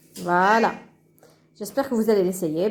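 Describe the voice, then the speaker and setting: A woman with a non-native accent speaks at a medium pitch with ordinary pitch variation. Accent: foreign accent in French. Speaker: cooking channel host. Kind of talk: cooking tutorial. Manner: halting, many hesitations.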